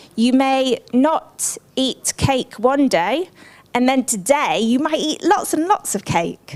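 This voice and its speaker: With an English accent, a woman with a high pitch talks at a very slow pace and swings her pitch very widely. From England. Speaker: social marketing expert. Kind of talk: conference presentation. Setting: conference room with audience.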